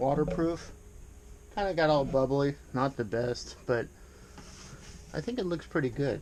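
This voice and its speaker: Noticeable background noise sits behind this man's voice. He speaks fairly slowly. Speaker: woodworking YouTuber. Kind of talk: casual tutorial. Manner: casual, hesitant with fillers.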